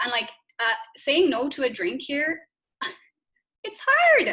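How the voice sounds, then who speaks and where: Speaking with an Irish accent, a woman uses a high pitch and a bright, sharp tone, her pitch swinging very widely. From Ireland, County Galway. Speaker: yoga practitioner and former teacher. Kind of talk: casual chat. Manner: animated.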